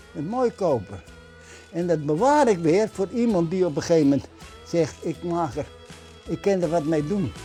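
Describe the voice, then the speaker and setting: With music in the background, a high-pitched man speaks at a fairly slow pace with lively intonation and long, frequent pauses. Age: 70s. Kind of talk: casual interview talk.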